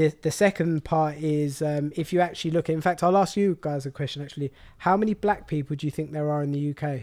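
A man with a London accent speaks at a very fast pace, with hardly any pauses and fairly even intonation. The recording is very clean, with a silent background and a dry, close sound with no echo. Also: fairly high pitch for a man. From London (Walthamstow), England. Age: 20s. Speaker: meal prep business founder. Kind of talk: casual interview.

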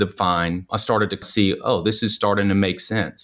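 Against a very clean recording with a silent background, a man with a plain, everyday voice and an American accent talks at a moderate pace with ordinary pitch variation. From US South, New Orleans. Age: 40s. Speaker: real estate agent and investor. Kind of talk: interview.

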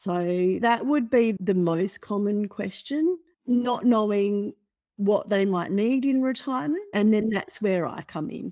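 A woman with an Australian accent speaks at a fairly slow pace in a medium pitch, with ordinary pitch variation and a dark, mellow tone. The recording is very clean, with a silent background. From Australia (Perth). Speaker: financial planner. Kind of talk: interview.

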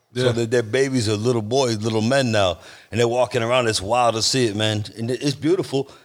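Speaking at a fairly quick pace, a man uses a plain, everyday voice at medium pitch with fairly even intonation. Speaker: podcast co-host. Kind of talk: casual chat. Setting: motorcycle shop.

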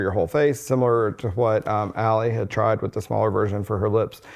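An unremarkable speaking voice from a man, medium in pitch, with fairly even intonation. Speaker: doctor and med spa co-owner. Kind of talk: casual chat.

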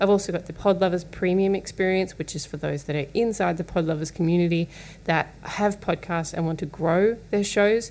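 With noticeable background noise behind her, a woman speaks fairly quickly at a fairly low pitch with fairly even intonation. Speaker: podcast host and business owner. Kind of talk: casual solo monologue. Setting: home studio.

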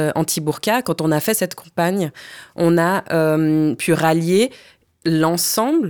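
This very clean recording with a silent background has a woman at a fairly low pitch with ordinary pitch variation. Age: 30s. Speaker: lawyer and human rights activist. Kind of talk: casual chat. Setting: studio.

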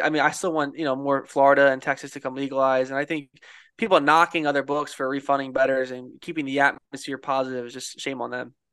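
With an American accent and a normal speaking voice, a man talks at a fairly high pitch and a fairly quick pace over a quiet background. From Philadelphia, US. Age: 20s. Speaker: sports bettor. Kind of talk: casual chat.

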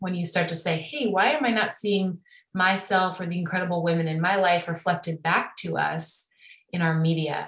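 With a Midwestern accent, a woman speaks at a moderate pace in a fairly low pitch with ordinary pitch variation. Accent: American Midwest. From US Midwest, Chicago area. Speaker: film director and producer. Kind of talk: casual interview.

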